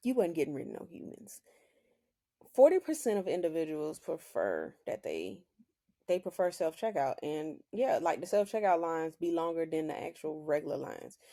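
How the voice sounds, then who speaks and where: An American-accented woman with an animated tone and big swings in loudness. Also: moderate pace. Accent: Southern country accent, strong when joking. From US South, rural Oklahoma. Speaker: podcast host. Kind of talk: casual solo podcast monologue.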